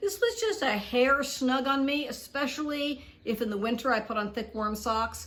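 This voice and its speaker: The speaker has an unremarkable speaking voice and a moderate pace. The intonation is lively. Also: woman. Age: 60s. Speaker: product reviewer, video blogger. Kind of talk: product review video. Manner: casual, conversational with fillers.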